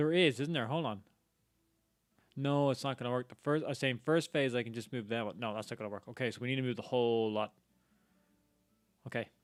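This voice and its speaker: With an Irish accent, a man speaks at a very fast pace, stopping for long, frequent pauses. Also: medium pitch for a man, ordinary pitch variation. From Ireland. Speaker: game streamer. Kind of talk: live gameplay commentary.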